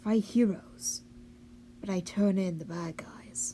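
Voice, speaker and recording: Raspy and at a middle pitch, a put-on character voice moves at a fairly slow pace. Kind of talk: character monologue. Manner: haughty, boastful.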